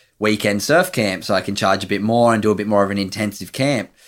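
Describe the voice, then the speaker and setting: Speaking at a fairly quick pace with an Australian accent, a man keeps a fairly low pitch and a monotone, flat intonation. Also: very clean recording, silent background. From Australia, Sydney's Northern Beaches. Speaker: former pro surfer, mental health charity founder. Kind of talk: interview, personal story.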